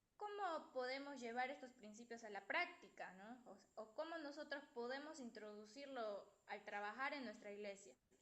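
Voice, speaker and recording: A woman's high-pitched voice with lively intonation at a moderate pace over noticeable background noise. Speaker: student presenting in class. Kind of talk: class presentation. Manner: soft-spoken. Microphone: too quiet, no headphones.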